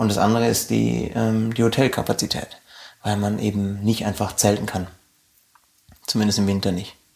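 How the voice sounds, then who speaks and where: A man's fairly low voice in a monotone, flat intonation, broken by long, frequent pauses. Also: moderate pace. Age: 30s. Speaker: arctic nature guide. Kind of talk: interview. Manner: halting, frequent ums and repetitions.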